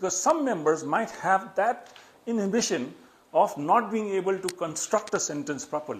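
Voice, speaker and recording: Speaking with a Nepali accent, a man with a high pitch talks at a moderate pace with lively intonation. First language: Newari. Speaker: public speaking trainer. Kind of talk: educational talk.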